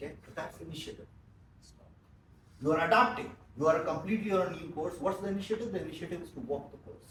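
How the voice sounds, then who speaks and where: At a very fast pace with long, frequent pauses, a man with a high pitch and ordinary pitch variation speaks in big swings of loudness, with audible room echo and noticeable background noise. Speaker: business trainer. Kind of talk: training seminar.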